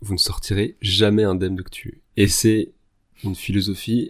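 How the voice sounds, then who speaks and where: A man is speaking. His voice is somewhat breathy. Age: 30s. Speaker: general practitioner, podcast guest. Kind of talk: casual chat.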